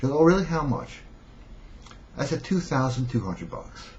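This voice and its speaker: A man at a very fast pace, with lively intonation. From New York City (Brooklyn). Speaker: self-help seduction coach. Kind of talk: storytelling monologue. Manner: casual, conversational.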